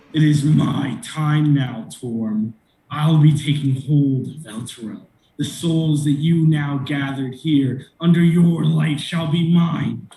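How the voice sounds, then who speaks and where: Using a put-on character voice, a man talks fairly high and fairly slowly. There is slight echo and some hissing. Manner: menacing.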